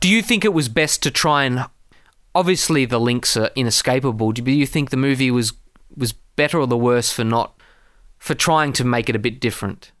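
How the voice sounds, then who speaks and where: Heard in a very clean recording with a silent background, a man has an ordinary speaking voice at medium pitch with very even loudness. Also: ordinary pitch variation, fairly quick pace. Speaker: podcast host. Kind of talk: casual chat, film review.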